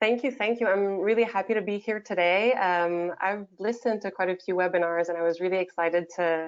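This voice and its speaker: Speaking at a moderate pace with a French Canadian accent, a woman has a fairly low pitch. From Quebec, Canada. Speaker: change manager. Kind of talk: webinar discussion. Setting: video call.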